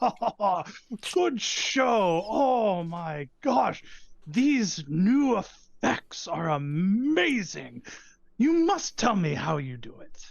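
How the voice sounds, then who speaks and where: A put-on character voice, female-sounding, moves at a very slow pace around a middle pitch. Its pitch swings very widely. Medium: actual play.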